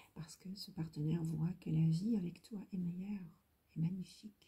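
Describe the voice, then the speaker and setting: The voice has a dark, mellow tone and is somewhat breathy. It moves at a fairly slow pace with fairly even intonation. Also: woman. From Lebanon. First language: Hebrew (speaking French). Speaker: tarot reader. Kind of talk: tarot reading video. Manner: halting, repetitive.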